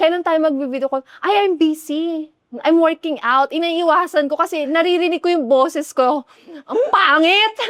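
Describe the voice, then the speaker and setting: A woman speaks at an extremely high pitch, with very even loudness and ordinary pitch variation. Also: moderate pace, dry, close sound with no echo. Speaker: podcast co-host. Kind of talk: casual chat.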